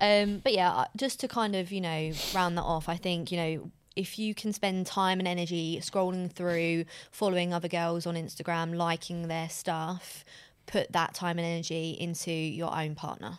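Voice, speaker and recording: The recording is very clean, with a silent background. A woman with a normal speaking voice talks at a moderate pace with fairly even intonation. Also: fairly low pitch for a woman. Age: 20s. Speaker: podcast co-host. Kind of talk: casual chat.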